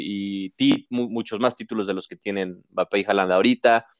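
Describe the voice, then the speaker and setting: On a very clean recording with a silent background, a man of fairly low pitch speaks with a Mexican accent. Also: dry, close sound with no echo. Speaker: sports podcast host. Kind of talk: casual chat.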